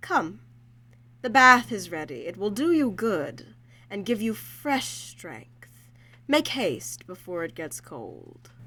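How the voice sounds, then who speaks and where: A female-sounding put-on character voice at medium pitch moves through very wide pitch swings at a fairly slow pace. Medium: audio drama.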